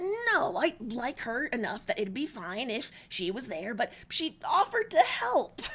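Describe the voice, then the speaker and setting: A woman puts on a strained character voice, pitched high with very wide swings, at a moderate pace. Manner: embarrassed, flustered.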